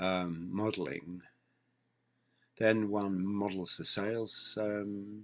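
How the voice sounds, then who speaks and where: A man speaks at a very slow pace with fairly low pitch and ordinary pitch variation, leaving long, frequent pauses. The recording is very clean, with a silent background. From England. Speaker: affiliate marketing educator. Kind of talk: tutorial. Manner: hesitant, many ums.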